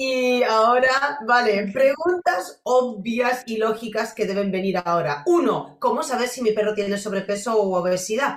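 A woman with a Polish accent speaks fairly slowly at a fairly high pitch, with lively intonation and hardly any pauses. Noticeable background noise is present. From Poland. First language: Polish (speaking Spanish). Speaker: podcast host, dog behaviour. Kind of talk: interview.

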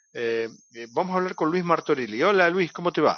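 Using lively intonation, a man speaks with a Rioplatense accent. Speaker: radio host. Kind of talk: interview. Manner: halting.

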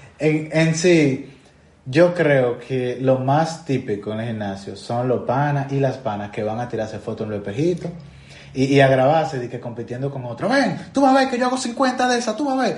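With a Dominican accent, a man with a fairly high pitch talks at a moderate pace and with lively intonation, amid audible room echo and noticeable background noise. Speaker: podcast host. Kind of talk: casual chat.

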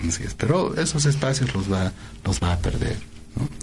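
Noticeable background noise and audible room echo surround a voice with lively intonation at a moderate pace. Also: man. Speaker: tarot reader and political forecaster. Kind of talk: radio interview. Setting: radio studio.

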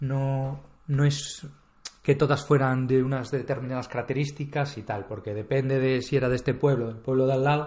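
At medium pitch and a moderate pace, a man speaks in a monotone, flat manner amid noticeable background noise. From Spain, Galicia (Vigo). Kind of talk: casual chat.

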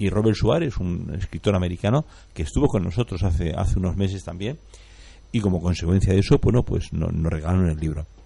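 A man speaks very fast in a very deep, low pitch. His tone is dark and mellow, and somewhat breathy. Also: ordinary pitch variation. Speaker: radio co-host. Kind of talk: live radio ad reading; casual chat.

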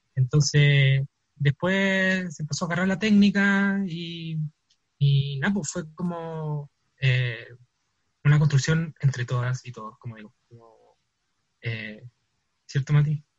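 A man with a fairly high pitch and a Chilean accent talks at a very slow pace with long, frequent pauses, big swings in loudness, ordinary pitch variation and a somewhat breathy quality, in a dry, close sound with no echo. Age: young. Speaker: theatre artist. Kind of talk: interview. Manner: halting.

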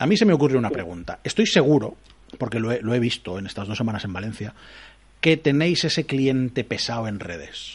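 With a medium pitch and lively intonation, a man sounds somewhat breathy and his loudness swings widely. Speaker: radio host. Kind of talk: casual chat. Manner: animated.

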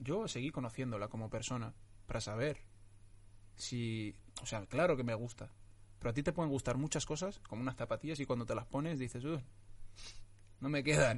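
A somewhat breathy man speaks fairly quickly at a medium pitch, with ordinary pitch variation and long, frequent pauses. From Morocco (Tetouan), raised from age 9 in Getafe, Madrid. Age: 20s. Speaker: actor. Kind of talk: casual interview chat. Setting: studio with camera and microphone.

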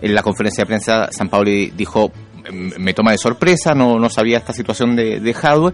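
A man talks at a fairly quick pace and medium pitch. He has a plain, everyday voice. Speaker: radio host. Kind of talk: radio interview.

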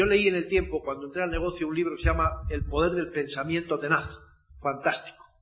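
The man talks at a very fast pace. His intonation stays fairly even. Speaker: network marketing speaker. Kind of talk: motivational talk.

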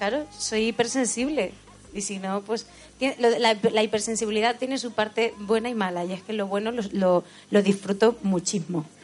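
A woman talks at a moderate pace with a fairly high pitch and ordinary pitch variation. Noticeable background noise sits behind her. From Spain, Albacete, Sierra del Segura village. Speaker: singer. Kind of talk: casual chat. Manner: halting.

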